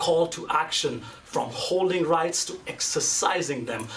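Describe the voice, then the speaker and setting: An animated, fairly high-pitched male voice at a moderate pace, with audible room echo and noticeable background noise. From India. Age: 30s. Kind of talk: conference speech.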